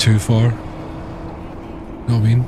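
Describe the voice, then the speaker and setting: Amid noticeable background noise and audible room echo, a man with a Scottish accent speaks at a medium pitch. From Scotland. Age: 30s. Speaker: gaming streamer. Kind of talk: casual chat. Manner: animated.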